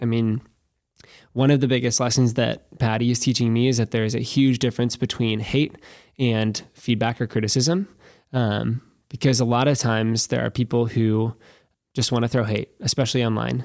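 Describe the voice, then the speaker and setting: In a very clean recording with a silent background, a man with an American accent speaks in a plain, everyday voice at medium pitch and moderate pace, with fairly even intonation and very even loudness. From Nebraska, US Midwest. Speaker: drag queen and outdoor activist.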